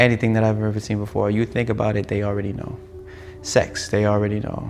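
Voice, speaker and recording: At a very fast pace, a man with an American accent talks in a fairly low pitch over noticeable background noise. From France and United States. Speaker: filmmaker. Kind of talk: personal reflection monologue. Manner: animated.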